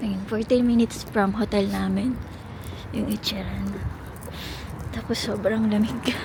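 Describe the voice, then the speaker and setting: At a fairly slow pace, a woman speaks with long, frequent pauses against noticeable background noise. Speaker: travel vlogger. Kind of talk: travel vlog narration. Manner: lowered voice.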